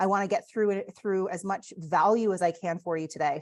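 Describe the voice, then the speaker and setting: A plain, everyday voice talks at a fairly quick pace with ordinary pitch variation. The background is quiet. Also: woman. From Canada. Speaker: real estate agent and coach. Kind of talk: online training presentation. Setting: video call.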